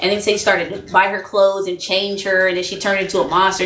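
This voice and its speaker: A woman talks at a very fast pace with a medium pitch. Audible room echo and noticeable background noise fill the recording. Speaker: relationship vlogger. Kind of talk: casual monologue. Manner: animated; loud.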